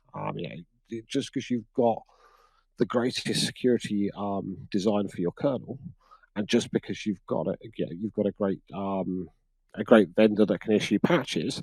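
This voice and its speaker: A man with a British accent, fairly low-pitched, at a moderate pace with ordinary pitch variation, in a dry, close sound with no echo. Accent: UK. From UK. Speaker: cybersecurity practitioner. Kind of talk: conference interview chat. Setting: conference couch interview.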